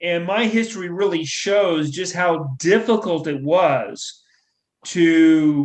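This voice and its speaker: Pitched high, a man's voice varies in pitch in an ordinary way. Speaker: historian and author. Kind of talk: interview conversation.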